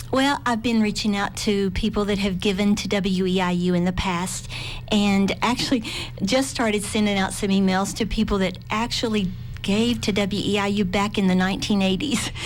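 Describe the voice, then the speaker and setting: A woman with a Southern Appalachian accent speaks at a moderate pace and medium pitch, her loudness very even and her intonation fairly even, with audible room echo. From southwestern Virginia (Appalachia). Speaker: public media membership manager. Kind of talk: radio interview.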